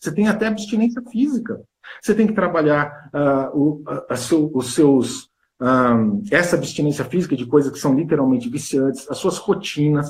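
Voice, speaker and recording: A man with a fairly high pitch, lively intonation and a fairly quick pace. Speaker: weight-loss coach. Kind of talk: interview on live stream. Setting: Instagram live video. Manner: fast.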